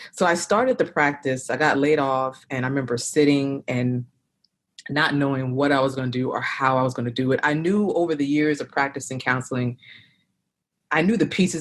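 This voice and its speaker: With a Philadelphia accent, a woman speaks at a fairly quick pace in a very deep, low pitch with ordinary pitch variation. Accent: Philadelphia-area American. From South Jersey, near Philadelphia. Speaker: therapist and practice owner. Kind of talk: interview.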